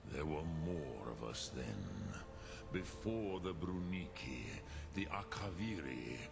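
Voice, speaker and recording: A man puts on a character voice with a very deep, low pitch. He goes at a fairly slow pace over loud background noise. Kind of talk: epic fantasy game voice acting. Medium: game stream. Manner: slow, measured, archaic.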